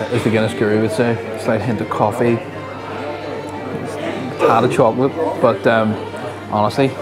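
Someone talks at a moderate pace while clear music plays in the background. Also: man. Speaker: travel vlogger host. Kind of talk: casual vlog chat. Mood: cheerful, appreciative. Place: bar. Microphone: lapel.

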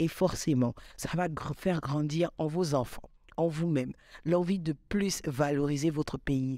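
Fairly slow and very deep, a woman's voice has a dark, mellow tone, recorded dry with no echo against a quiet background. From Gabon. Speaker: content creator; podcast host. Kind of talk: motivational vlog monologue. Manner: animated. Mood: passionate, cheerful. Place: studio. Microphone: studio mic.

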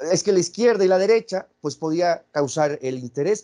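A man with a high pitch, lively intonation and a moderate pace against a quiet background. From Mexico. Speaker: philosopher and interviewer; interviewer. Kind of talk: interview. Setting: video call. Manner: halting, many repetitions. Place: home room. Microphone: video call.

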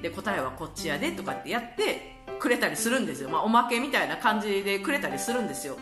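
A woman speaks with a Kansai accent. Music is clearly heard in the background. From Kansai, Japan. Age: late 30s to early 40s. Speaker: vlogger. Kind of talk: casual talk to camera. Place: home room. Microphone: phone near.

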